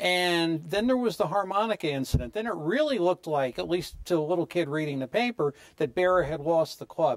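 A high-pitched man with an American accent, fairly quick and with hardly any pauses, lively intonation over a quiet background. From US Northeast. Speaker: sports show co-host. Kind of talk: interview. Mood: warm, respectful. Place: studio.

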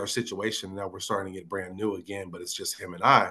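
A man with an American accent, fairly low in pitch, talking very fast with fairly even intonation. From Northern California (Fairfield). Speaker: hip hop artist. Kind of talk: casual interview. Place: home room. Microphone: video call.

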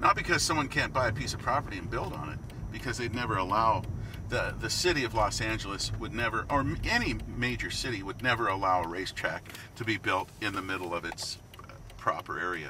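Very fast speech from a man comes with noticeable background noise and a dry sound with no echo. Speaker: radio commercial voice for a racetrack, track official. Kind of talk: casual interview answer, reminiscing about a racetrack. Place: car.

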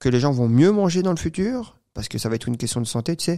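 Dark and mellow in tone, a man speaks fairly quickly with lively intonation over a quiet background. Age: 20s. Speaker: entrepreneur; podcast guest. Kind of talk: interview; interview answer. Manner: halting. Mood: calm, relaxed storytelling. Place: studio. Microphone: studio mic.

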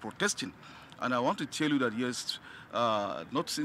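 The man's voice sounds dry with no echo, with light background noise present. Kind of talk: press interview answer. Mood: earnest, reassuring. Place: street. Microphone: handheld.

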